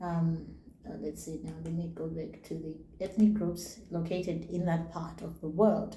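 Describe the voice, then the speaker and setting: A woman with a Zimbabwean accent talks in a fairly low voice with fairly even intonation and big swings in loudness, amid audible room echo. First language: Shona. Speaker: YouTuber. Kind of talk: casual vlog talk. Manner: halting, reads names slowly.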